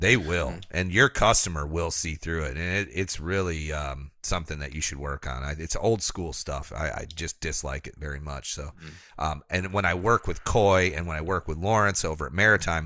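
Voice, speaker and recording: On a very clean recording with a silent background, a man with a very deep, low pitch, vocal fry and a bright, sharp tone speaks at a moderate pace with ordinary pitch variation. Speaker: podcast co-host reading sponsor ads. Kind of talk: casual, conversational. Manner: smooth, practiced delivery.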